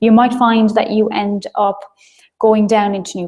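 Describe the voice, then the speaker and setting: The voice has a dark, mellow tone. It comes with an Irish accent. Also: woman. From Ireland. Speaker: marketing trainer. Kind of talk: webinar lecture. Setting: live online broadcast. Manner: fast.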